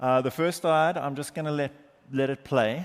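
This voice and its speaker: In a South African accent, the speaker goes at a moderate pace with ordinary pitch variation on a very clean recording with a silent background. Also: man. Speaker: market research executive, conference speaker. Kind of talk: conference keynote. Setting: stage with audience.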